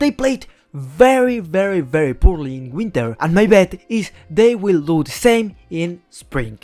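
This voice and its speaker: A man with a Spanish accent speaks at a moderate pace in a high voice, his pitch swinging very widely. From Spain. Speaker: esports YouTuber. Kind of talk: scripted commentary.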